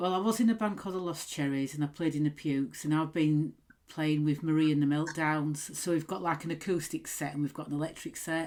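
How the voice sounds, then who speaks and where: At a fairly quick pace, the speaker uses ordinary pitch variation in a Yorkshire accent. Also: woman, very deep, low pitch for a woman. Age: 40s. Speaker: podcast host and punk musician. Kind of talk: casual chat.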